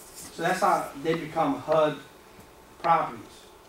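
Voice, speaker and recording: A man speaks in a high voice at a moderate pace. Audible room echo and light background noise surround him. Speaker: seminar instructor. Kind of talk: lecture. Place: meeting room. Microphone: camera far.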